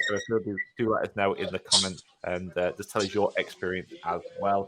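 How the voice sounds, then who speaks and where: The speaker has a bright, sharp tone and a British accent. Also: man. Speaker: podcast co-host, fitness business. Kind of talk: casual chat. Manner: loud.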